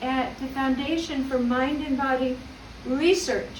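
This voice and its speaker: The speaker talks at a fairly slow pace with fairly even intonation. Audible room echo and noticeable background noise are present. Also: woman. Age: 60s. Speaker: graduate giving acceptance speech. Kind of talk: graduation acceptance speech. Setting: video call ceremony.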